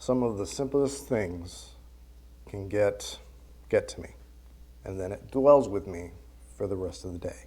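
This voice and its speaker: At a fairly slow pace, a man talks with long, frequent pauses and big swings in loudness, with audible room echo around him. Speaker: church member giving a lesson. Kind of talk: sermon. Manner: soft-spoken; halting.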